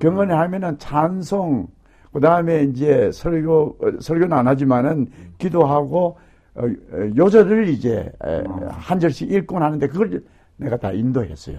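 With lively intonation and big swings in loudness, a man speaks fairly slowly in a dark, mellow tone at a fairly high pitch. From South Korea, Gyeongbuk. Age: 70s. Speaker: retired pastor and theologian. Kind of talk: casual interview recalling life story.

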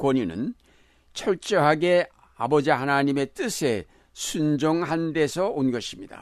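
A man with a fairly high voice talks very slowly. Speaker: retired senior pastor. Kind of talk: sermon. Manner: formal.

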